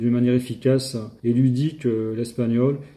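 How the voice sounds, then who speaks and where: The speaker is male. He talks at a medium pitch. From southern France. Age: 60s. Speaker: language learner. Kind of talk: testimony. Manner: halting, hesitant.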